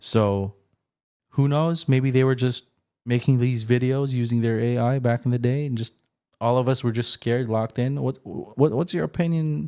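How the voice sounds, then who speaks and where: A man speaks at a moderate pace and a medium pitch. His tone is dark and mellow, with ordinary pitch variation. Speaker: podcast host. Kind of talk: casual podcast interview talk.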